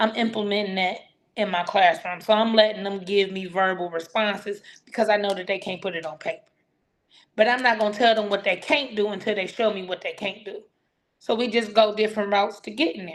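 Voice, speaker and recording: A woman's medium-pitched voice at a fairly quick pace, fairly even in intonation, with big swings in loudness. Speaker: teacher. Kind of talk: casual conversation. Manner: informal, slangy.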